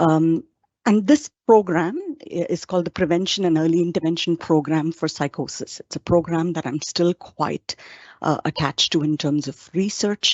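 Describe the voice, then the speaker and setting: With an Indian accent, a woman talks at a moderate pace and a fairly low pitch, with ordinary pitch variation. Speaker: psychologist and professor. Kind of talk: webinar presentation. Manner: hesitant with frequent fillers.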